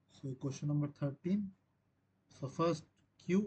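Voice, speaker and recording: A somewhat breathy man's voice with a dark, mellow tone at a moderate pace. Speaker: teaching assistant. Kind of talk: tutorial.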